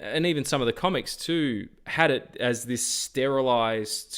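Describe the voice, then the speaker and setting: At a very slow pace, a man with an Australian accent speaks on a very clean recording with a silent background. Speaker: film podcast co-host. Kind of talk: casual chat. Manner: halting.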